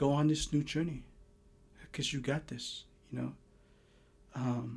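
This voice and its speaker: A man with a Lao accent, fairly high-pitched, fairly even in intonation, at a fairly slow pace. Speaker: tarot reader. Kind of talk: tarot reading monologue. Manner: halting, many repeats and fillers.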